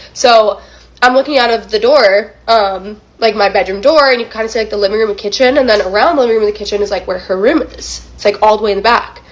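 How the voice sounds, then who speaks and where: Speech races at a very fast pace with ordinary pitch variation, noticeable background noise behind it. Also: woman, fairly high pitch for a woman. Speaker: YouTuber, story reactor. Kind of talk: casual storytelling. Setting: home recording setup. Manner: casual, filler-heavy.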